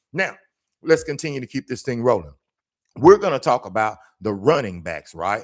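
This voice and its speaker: Animated and with vocal fry, a voice with an American accent moves at a fairly quick pace on a very clean recording with a silent background. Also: man. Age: 60s. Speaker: sports commentator and youth trainer. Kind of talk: casual video commentary. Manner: animated, repetitive emphasis.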